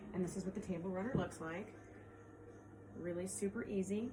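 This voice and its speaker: A woman speaks with fairly even intonation over noticeable background noise and audible room echo. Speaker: quilt shop owner. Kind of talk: tutorial. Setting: alone in a quilt shop. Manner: loud; casual, with fillers. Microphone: no microphone, camera audio.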